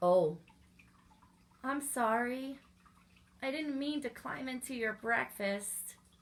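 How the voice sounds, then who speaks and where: Using a put-on character voice pitched high, a woman delivers her lines with long, frequent pauses. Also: fairly slow pace. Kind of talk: bedtime story. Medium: read story.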